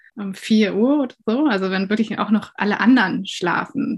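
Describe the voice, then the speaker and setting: A somewhat breathy woman's voice with ordinary pitch variation, at a moderate pace. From northern Germany, near Hamburg. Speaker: composer. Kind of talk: interview excerpt.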